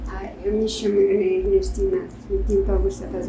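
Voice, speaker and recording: A woman talks at a very slow pace in a space with audible room echo and noticeable background noise. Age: 90s. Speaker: senior centre participant. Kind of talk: interview.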